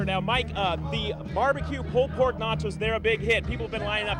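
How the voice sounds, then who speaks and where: A man speaks at a very fast pace in an upbeat tone. Music plays in the background. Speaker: television news reporter. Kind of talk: live on-air news report from a festival. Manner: upbeat, conversational, on-location.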